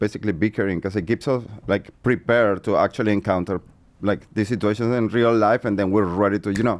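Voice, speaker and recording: A man speaks with a Venezuelan accent. His pitch is fairly low and his pace fairly quick. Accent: Venezuelan Spanish accent, noticeable. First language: Spanish. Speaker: co-host, influencer. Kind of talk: casual chat.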